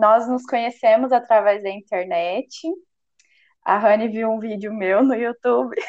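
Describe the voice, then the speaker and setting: A woman with a Minas Gerais accent speaks at a fairly slow pace and a fairly high pitch, with ordinary pitch variation. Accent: mineiro. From Minas Gerais, Brazil (Uberlândia). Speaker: podcast co-host. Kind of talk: casual chat.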